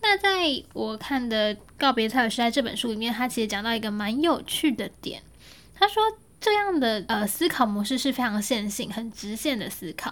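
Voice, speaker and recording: This woman's fairly high voice carries lively intonation. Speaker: podcast host. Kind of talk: solo podcast monologue, unscripted. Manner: casual, conversational.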